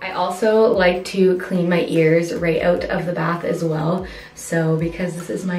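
Faint music plays in the background. The room echo is audible. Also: woman. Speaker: beauty vlogger. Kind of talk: casual vlog chat. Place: bathroom. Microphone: camera far.

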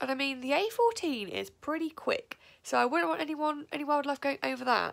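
Against a quiet background, a woman is speaking. Her voice is pitched high. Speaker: vlogger. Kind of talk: casual vlog chat. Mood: relaxed, enthusiastic. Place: home room. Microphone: phone near.

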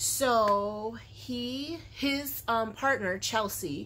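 A somewhat breathy woman with ordinary pitch variation. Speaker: crochet vlogger. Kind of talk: casual vlog chat. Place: home room. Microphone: phone near.

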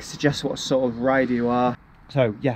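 Noticeable background noise accompanies a man who keeps a moderate pace. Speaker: cycling vlogger. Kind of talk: tutorial. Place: street. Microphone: phone near.

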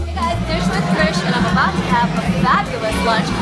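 A woman at a moderate pace over loud music in the background. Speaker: food vlogger host. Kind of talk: casual vlog chat. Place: bar. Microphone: phone near.

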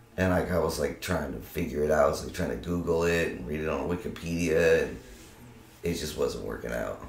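With an American accent and a very deep, low pitch, a man speaks fairly quickly with ordinary pitch variation as room echo is audible. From Arizona and California (Tucson and Monterey); Arizona; California. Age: 30s. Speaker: university student; interview guest. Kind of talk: casual interview. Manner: animated. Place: home room. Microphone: camera far.

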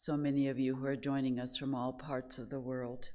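A woman with a very deep, low pitch. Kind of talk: sermon. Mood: warm, gentle, smiling. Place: hall. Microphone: podium.

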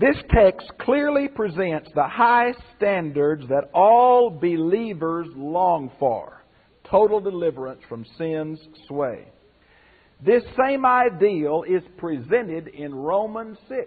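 A high-pitched man speaking at a very slow pace against a quiet background. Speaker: pastor teacher. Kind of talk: lecture.

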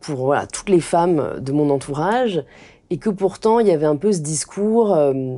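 A woman talks at a fairly slow pace in a dark, mellow tone. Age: 20s. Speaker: influencer and author; influencer. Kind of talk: interview conversation. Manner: hesitant with fillers. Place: home room.

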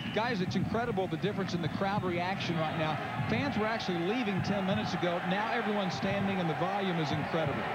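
Over loud background noise, a man with a high pitch speaks at a very fast pace, with ordinary pitch variation, very even loudness and a dry sound with no echo. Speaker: sideline reporter. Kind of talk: live sports reporting. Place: stadium.

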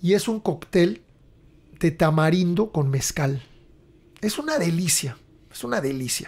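A man at a fairly slow pace, lively intonation, long and frequent pauses. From Mexico. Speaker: podcast host and rock musician; podcast host. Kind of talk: casual chat; reading aloud. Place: home room. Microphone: studio mic.

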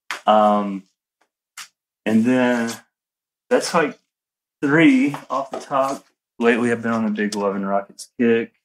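A man speaks with a Southern US accent at a very slow pace. His delivery is broken by long, frequent pauses. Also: medium pitch for a man, ordinary pitch variation. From Alabama. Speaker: menswear designer and brand founder. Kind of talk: casual interview chat. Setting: remote call.

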